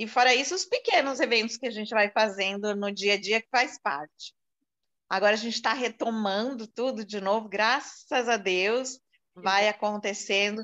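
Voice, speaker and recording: Against a quiet background, a woman speaks at a fairly high pitch with ordinary pitch variation. Her tone is bright and sharp. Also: moderate pace. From São Paulo city, Brazil. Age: 60s. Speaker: event marketing professional. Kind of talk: interview testimony.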